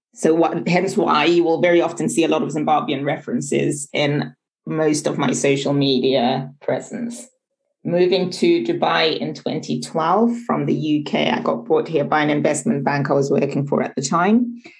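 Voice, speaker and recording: A woman with a very deep, low pitch speaks at a moderate pace. Her intonation is lively, and her voice has vocal fry. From United Kingdom, with some schooling in Zimbabwe. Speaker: management consultant and entrepreneur. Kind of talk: interview conversation.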